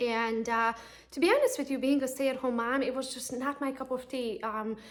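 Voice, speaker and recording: With a Romanian accent, a woman speaks at a high pitch and a fairly quick pace, her intonation fairly even. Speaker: real estate agent and coach. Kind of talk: personal pitch to camera. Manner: casual, conversational.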